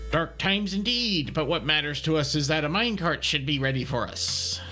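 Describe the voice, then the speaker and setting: A man puts on a character voice with a fairly high pitch and a fairly quick pace. Clear music sits in the background. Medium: game stream. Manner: dry, grumbling.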